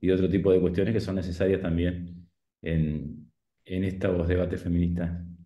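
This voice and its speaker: Here a man talks at a moderate pace in a very deep, low pitch. Audible room echo surrounds him, though the background is quiet. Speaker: audience member asking question; audience member. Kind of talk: academic Q&A. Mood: thoughtful, critical. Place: kitchen. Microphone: webcam.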